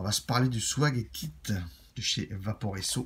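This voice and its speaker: This man uses lively intonation and vocal fry, speaking at a very slow pace in a fairly low pitch. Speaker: vape product reviewer. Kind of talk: product review. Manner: casual, conversational.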